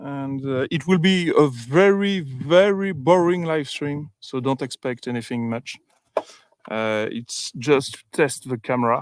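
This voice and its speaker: A man's fairly high-pitched voice at a fairly slow pace, full of lively intonation and big swings in loudness. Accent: French. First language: French. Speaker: UAP researcher livestreamer. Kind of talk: casual livestream commentary. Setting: outdoors in the field. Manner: halting, many fillers.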